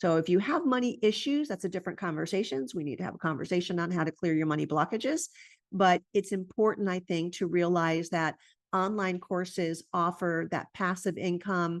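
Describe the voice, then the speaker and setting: A woman with an ordinary speaking voice and fairly low pitch talks at a fairly quick pace with ordinary pitch variation over a quiet background. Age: 60s. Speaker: integrative medicine doctor and entrepreneur. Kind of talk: conference presentation.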